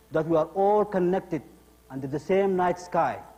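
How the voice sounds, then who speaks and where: A man speaks at a high pitch. Music runs in the background. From abroad, studied in Russia. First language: not English. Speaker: immigrant telling his story in a play. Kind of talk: theatrical monologue.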